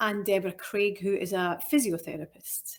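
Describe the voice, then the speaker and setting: A woman speaks with a strong Scottish accent. Her pitch varies in an ordinary way. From Scotland. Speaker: nutritional therapist. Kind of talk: interview conversation. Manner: deliberately slower and clearer.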